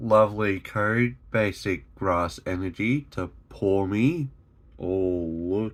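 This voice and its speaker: A man speaks with an Australian accent and ordinary pitch variation on a very clean recording with a silent background. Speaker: YouTuber opening trading card packs. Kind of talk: casual pack-opening commentary. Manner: animated; occasional stumbles.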